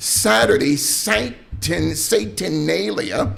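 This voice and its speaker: A man talks while noticeable background noise runs behind him. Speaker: pastor and radio host. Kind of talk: preaching / sermon-style commentary. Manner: emphatic, rhetorical, questioning.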